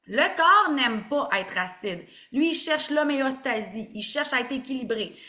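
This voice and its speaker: A woman's raised, projected voice in a Quebec accent, high in pitch with lively intonation, at a moderate pace with audible room echo. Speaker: naturopath. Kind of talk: online presentation. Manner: animated.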